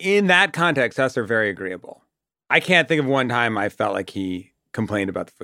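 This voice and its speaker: On a very clean recording with a silent background, a man with an American accent talks fairly quickly at medium pitch, with very wide pitch swings and a bright, sharp tone. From Boston area, US. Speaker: TV comedy writer. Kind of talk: casual chat.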